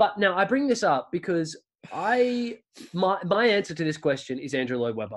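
A man with an Australian accent speaks at a high pitch and a moderate pace, his voice making very wide pitch swings over a quiet background. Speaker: musical theatre performer and writer. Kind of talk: casual chat.

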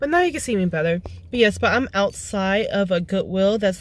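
The recording is dry, without any echo. A woman talks at a moderate pace. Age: 20s. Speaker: vlogger. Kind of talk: casual vlog talk to camera. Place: car. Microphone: phone near.

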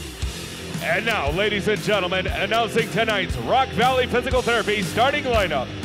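A moderate pace with hardly any pauses, and clear music in the background. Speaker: arena announcer. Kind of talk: arena PA announcement. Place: stadium.

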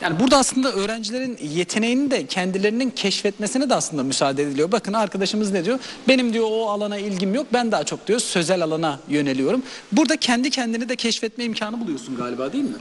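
A man speaks fast in a high-pitched voice. His intonation is lively.

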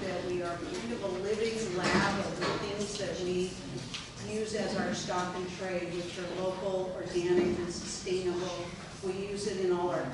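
A woman at a moderate pace, over loud background noise, with audible room echo. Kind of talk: informal presentation. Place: hall. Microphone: camera far.

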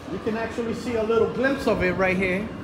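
A man speaks in a raised, projected voice over noticeable background noise. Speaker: urban explorer vlogger. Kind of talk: casual vlog chat. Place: station. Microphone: phone near.

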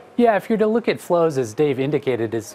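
A man speaks against light background noise. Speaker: investment research director. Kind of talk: TV panel discussion. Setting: studio. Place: studio. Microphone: lapel.

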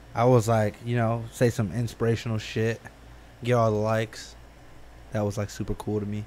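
With long, frequent pauses, a man speaks at a moderate pace over light background noise. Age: 20s. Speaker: podcast co-host. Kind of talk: casual chat. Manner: animated, laughing. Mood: relaxed, joking, uses profanity. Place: studio. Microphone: studio mic.

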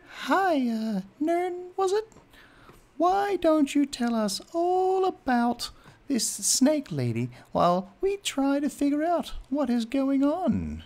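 In a put-on character voice, a female-sounding speaker talks very slowly at a high pitch. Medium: actual play.

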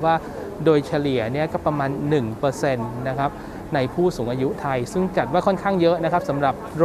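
Crowd noise fills the background. Over it, a man speaks with ordinary pitch variation. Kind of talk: interview answer. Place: hall. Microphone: lapel.

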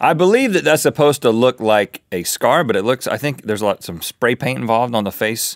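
The sound is dry and close, with no echo. A man with a medium pitch and vocal fry speaks with very wide pitch swings. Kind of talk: casual talk show banter.

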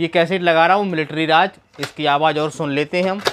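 The tone is fairly bright, the pace fairly quick, and the pitch variation ordinary. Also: man.

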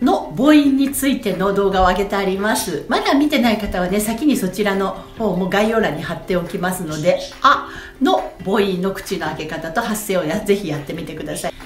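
A woman talks at a moderate pace, her pitch swinging very widely. Faint music plays behind her, and the room echo is audible. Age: 40s. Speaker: voice trainer. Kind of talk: voice training lesson to camera. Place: home room. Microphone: phone near.

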